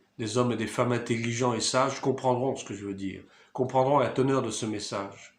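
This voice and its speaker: A man talks with fairly even intonation. Audible room echo surrounds his voice. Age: 60s. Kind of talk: video monologue, sermon-like commentary.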